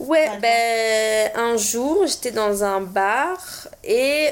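A woman speaks with a fairly high pitch and ordinary pitch variation. It is a plain, everyday voice. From southern France (Montpellier). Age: 20s. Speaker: podcast guest. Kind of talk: casual chat.

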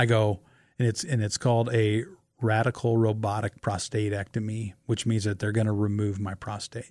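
A man with a Midwestern US accent, fairly low-pitched, at a moderate pace in a monotone, flat intonation. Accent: US Midwest. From Nebraska. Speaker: amateur marathon runner. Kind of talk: casual chat. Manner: halting.

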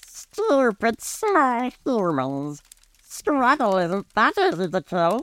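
Putting on a character voice, a man speaks at an extremely high pitch with very wide pitch swings. His pace is very slow. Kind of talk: campfire tale reading. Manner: taunting, menacing, broken grammar.

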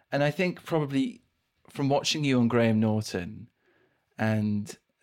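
On a very clean recording with a silent background, a man with an unremarkable speaking voice talks with ordinary pitch variation. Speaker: podcast host. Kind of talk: interview.

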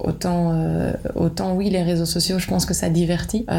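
This woman's voice sits at a fairly low pitch. Noticeable background noise and audible room echo come through. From Belgium, Liège (Wallonia). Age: 30s. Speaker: agency founder and business owner. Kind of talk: interview. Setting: office.

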